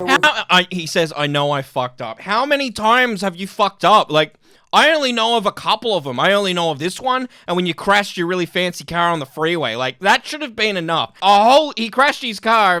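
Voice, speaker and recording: A man talks fairly quickly with hardly any pauses, his voice raised and projected with a bright, sharp, animated tone. His pitch swings very widely, and the sound is dry and close with no echo. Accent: Australian. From Australia. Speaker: YouTube commentator. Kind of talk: reaction commentary.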